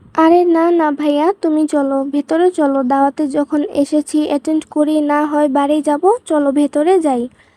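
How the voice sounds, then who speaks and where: In a put-on character voice, a woman speaks high-pitched, shaky and flat at a moderate pace, her loudness very even, the sound dry and close with no echo. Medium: read story. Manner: shaky, emotional.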